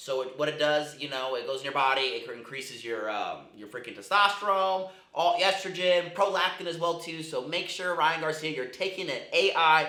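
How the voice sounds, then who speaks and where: Moderate pace, big swings in loudness, audible room echo and noticeable background noise. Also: man, fairly high pitch for a man, ordinary pitch variation. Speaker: MMA commentary youtuber. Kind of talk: casual commentary. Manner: casual, filler-heavy.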